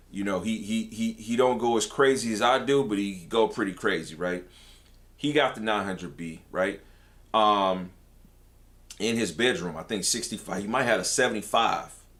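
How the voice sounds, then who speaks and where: A man with a fairly low voice speaks at a moderate pace in an animated tone, his pitch varying in an ordinary way. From Detroit, US Midwest. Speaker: tech YouTuber. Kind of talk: live stream chat. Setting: live stream. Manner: casual, animated.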